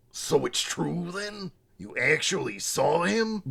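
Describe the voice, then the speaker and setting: Putting on a character voice, a man speaks in a high-pitched, raspy voice at a fairly slow pace. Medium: read story.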